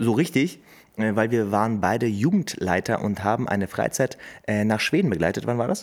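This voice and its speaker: At a moderate pace, a man with an ordinary speaking voice talks at medium pitch with lively intonation and very even loudness. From Hameln, Lower Saxony, Germany. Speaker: podcast host. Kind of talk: casual chat. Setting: coworking space studio.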